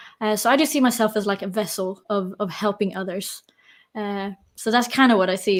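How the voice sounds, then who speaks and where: A woman at a medium pitch with a slight London accent, talking at a very fast pace on a very clean recording with a silent background. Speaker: personal trainer and coach. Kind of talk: interview.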